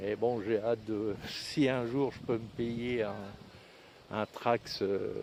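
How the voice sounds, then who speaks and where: A man's medium-pitched voice, fairly even in intonation, at a very slow pace. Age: 70s. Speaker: e-bike vlogger. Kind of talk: casual product review. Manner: halting, many fillers.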